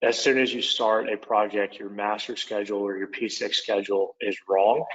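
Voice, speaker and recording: Moderate pace and monotone, flat intonation in an Oklahoma accent. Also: man, fairly low pitch for a man. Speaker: product manager, former construction superintendent. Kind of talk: webinar presentation. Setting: online webinar.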